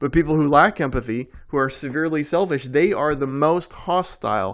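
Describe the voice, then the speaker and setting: A fairly high-pitched male voice over a quiet background. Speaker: lay preacher. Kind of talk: unscripted sermon. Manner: loud; animated.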